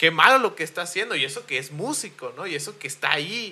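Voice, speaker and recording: This man talks at a moderate pace with lively intonation. His tone is bright and sharp. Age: 20s. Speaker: podcast host. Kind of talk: casual chat.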